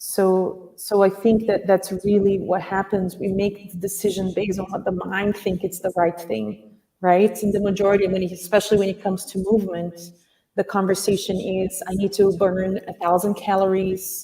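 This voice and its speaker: A woman's medium-pitched voice in a Portuguese accent, monotone with flat intonation, at a moderate pace. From Brazil. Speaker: acupuncturist and dance teacher. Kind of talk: interview. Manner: halting.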